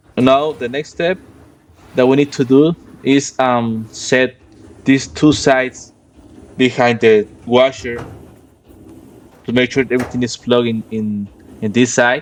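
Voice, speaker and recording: A man with a medium-pitched voice speaks at a fairly slow pace, with fairly even intonation and long, frequent pauses. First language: Spanish. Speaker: HVAC and appliance repair technician. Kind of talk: tutorial. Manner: halting.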